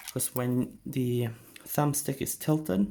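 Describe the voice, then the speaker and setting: A man's dark, mellow tone at a fairly slow pace. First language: not English. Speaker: gaming tech YouTuber. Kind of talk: tutorial. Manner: casual, hesitant with fillers.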